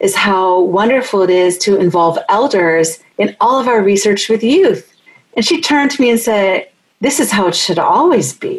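A woman with an unremarkable speaking voice, fairly high pitch and lively intonation, at a moderate pace. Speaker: podcast host and researcher. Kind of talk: interview conversation.

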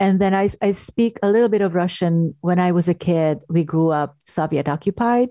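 A woman with a Hungarian accent speaks at a moderate pace with hardly any pauses, her pitch fairly low and its variation ordinary. Her tone is dark and mellow, the loudness very even, and the sound dry and close with no echo. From Hungary. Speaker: actress and drama therapist. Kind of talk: casual interview. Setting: video call.

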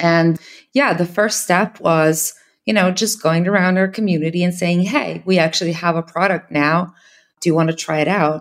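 Recorded very cleanly against a silent background, a woman with a Serbian accent speaks at a moderate pace with fairly low pitch and ordinary pitch variation. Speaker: startup founder. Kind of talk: interview.

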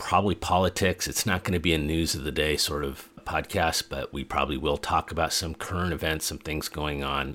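A man with an American accent speaks with vocal fry on a very clean recording with a silent background. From US Pacific Northwest (Portland, Oregon; Montana). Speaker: podcast host. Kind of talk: solo monologue.

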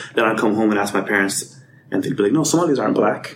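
With an American accent, a man talks using lively intonation. Background noise is noticeable. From Atlanta, US South. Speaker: podcast guest. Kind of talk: casual chat.

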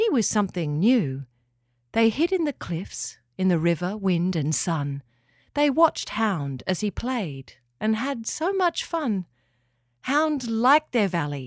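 At a fairly slow pace, a woman of medium pitch uses very wide pitch swings and a warm, gentle tone, her sound dry and close with no echo. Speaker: storyteller. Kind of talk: bedtime story narration, reading a rhyming tale aloud. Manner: warm, gentle and expressive, with a lilting sing-song rhythm that follows the rhymes.

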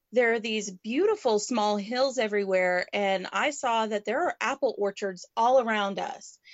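At a moderate pace, a woman speaks with a fairly high voice and ordinary pitch variation. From Canada, moved to Texas. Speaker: roadschooling mother and RV vlogger. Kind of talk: casual interview. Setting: remote call over internet. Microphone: unstable internet connection.

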